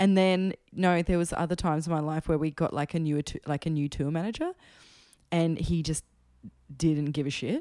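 A woman with an Australian accent, fairly low in pitch, dark and mellow in tone, with fairly even intonation and a moderate pace, in a very clean, dry, close recording with no echo and a silent background. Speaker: musician. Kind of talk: casual chat. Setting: at home.

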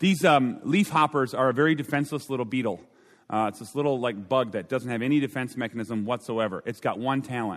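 Animated tone and lively intonation from a man with an Upper Midwest accent. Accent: Upper Midwest American. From Minnesota. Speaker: pastor and speaker. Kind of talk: sermon. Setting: stage with audience.

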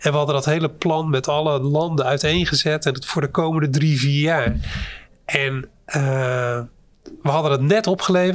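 A man with a normal speaking voice and a fairly high pitch talks at a moderate pace with ordinary pitch variation in a very clean recording with a silent background. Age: 50s. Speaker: company CEO. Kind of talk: interview.

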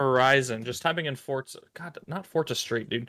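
There is vocal fry in this man's medium-pitched voice. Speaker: video game podcast co-host. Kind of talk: casual chat.

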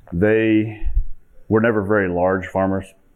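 A man with a Midwestern US accent speaks fairly slowly. His pitch is fairly low. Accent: rural Midwestern American. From Kansas. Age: 30s. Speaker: farmer. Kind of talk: conference presentation.

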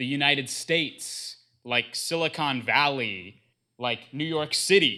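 On a very clean recording with a silent background, a man talks in an ordinary speaking voice, fairly high in pitch, with ordinary pitch variation and a fairly slow pace. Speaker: divinity school graduate. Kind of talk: presentation.

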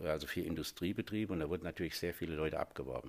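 The recording is very clean, and the background is silent. A man's pitch varies in an ordinary way. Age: 60s. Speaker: master plumber and heating engineer, business owner. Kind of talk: interview. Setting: studio. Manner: hesitant, with filler sounds.

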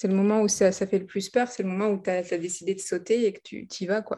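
Against a quiet background, a woman speaks in a medium pitch with fairly even intonation. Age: 30s. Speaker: life coach. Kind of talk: interview. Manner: halting.

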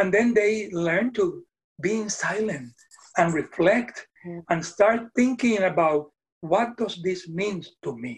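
A very slow pace in a Puerto Rican accent. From Puerto Rico. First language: Spanish. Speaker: retired Methodist minister. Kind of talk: casual interview conversation. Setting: video call.

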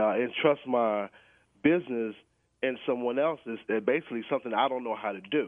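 Using a normal speaking voice, a man talks at a medium pitch and a fairly quick pace. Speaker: caller. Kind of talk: casual chat. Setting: phone call.

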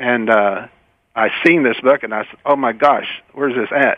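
Here a man speaks with a Kentucky accent at a moderate pace. His pitch is medium and his intonation fairly even. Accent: Kentucky Southern US. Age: 70s. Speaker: product inventor. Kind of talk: interview. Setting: phone call.

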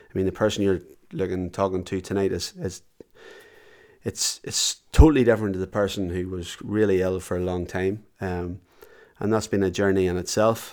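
A man's very deep, low voice with a Northern Irish accent, fairly even intonation, and a very clean recording over a silent background. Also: moderate pace. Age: 40s. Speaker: business owner and endurance athlete with MS. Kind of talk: interview. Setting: at home.

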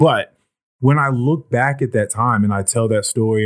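An unremarkable speaking voice from a man, at a moderate pace with lively intonation. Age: 30s. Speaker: podcast host. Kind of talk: casual chat.

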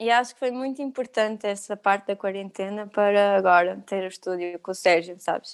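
A woman speaks at a fairly quick pace in an ordinary speaking voice, medium in pitch with fairly even intonation, on a very clean recording with a silent background. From Algarve, Portugal. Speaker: yoga teacher. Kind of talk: casual interview.

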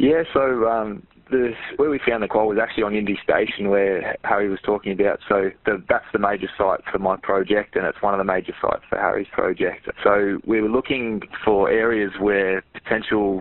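Speaking at a moderate pace with ordinary pitch variation, a man with an Australian accent has a fairly low voice. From Albury-Wodonga, Australia. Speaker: environmental science student. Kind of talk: interview.

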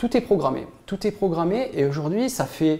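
Medium tempo, very clean recording, silent background. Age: 40s. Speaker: entrepreneur giving a client testimonial. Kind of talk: testimony. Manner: halting, many hesitations and repetitions.

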